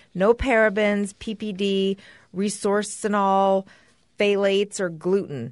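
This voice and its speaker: A woman with a normal speaking voice talks at a fairly slow pace and medium pitch. Her intonation is fairly even, and the background is quiet. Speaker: podcast co-host. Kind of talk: casual chat with husband.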